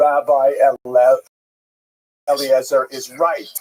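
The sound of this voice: A man puts on a booming character voice at a fairly high pitch. His intonation stays monotone and flat.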